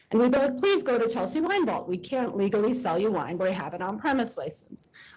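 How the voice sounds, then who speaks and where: Speaking at a very fast pace, a woman with a fairly high pitch swings her pitch very widely. Noticeable background noise runs behind her. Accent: American. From New York City, Queens. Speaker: wine bar owner. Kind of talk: testimony. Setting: board meeting hearing room.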